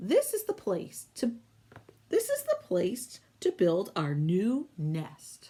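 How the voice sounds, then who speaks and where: A woman puts on a character voice with fairly high pitch. She speaks at a very slow pace. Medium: read story. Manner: complaining, bossy.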